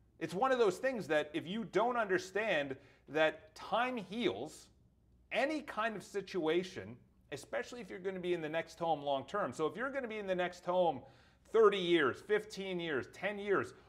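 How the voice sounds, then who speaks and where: This man's intonation rises and falls in a lively way. His speed is moderate. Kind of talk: casual vlog commentary. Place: office.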